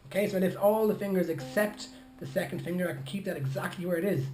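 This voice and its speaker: A man talks at a very fast pace. Light background noise and audible room echo come through. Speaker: ukulele teacher. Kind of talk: tutorial. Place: home room. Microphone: phone near.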